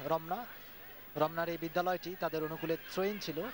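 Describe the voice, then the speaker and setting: Over noticeable background noise, a man with a high pitch speaks in a monotone, flat intonation. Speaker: football commentator. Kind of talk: live football match commentary.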